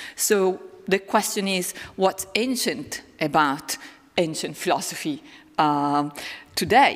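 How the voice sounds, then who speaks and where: In an Italian accent, a woman speaks at a medium pitch and a very slow pace with long, frequent pauses. Her intonation is lively. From northern Italy, Lombardy. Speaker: philosophy professor. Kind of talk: public lecture.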